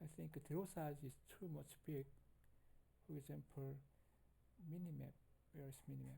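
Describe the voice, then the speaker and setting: Someone with a non-native accent speaks at a moderate pace. Long, frequent pauses break up the speech. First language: not English. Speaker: game development tutorial maker. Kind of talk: tutorial. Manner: halting.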